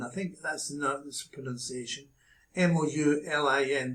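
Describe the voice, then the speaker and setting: A man with a Glasgow accent at a fairly slow pace. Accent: Scottish (Glasgow). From Glasgow, Scotland. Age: 80s+. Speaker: businessman. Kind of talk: casual talk to camera.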